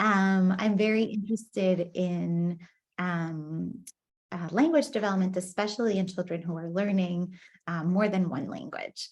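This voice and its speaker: With a Spanish accent, a woman speaks at a fairly slow pace in a medium pitch. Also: ordinary pitch variation. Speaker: professor. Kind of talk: lecture. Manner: hesitant, many fillers.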